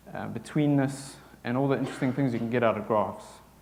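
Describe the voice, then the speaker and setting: A man with a South African accent speaks with fairly even intonation, and room echo is audible. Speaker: software developer. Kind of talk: conference talk.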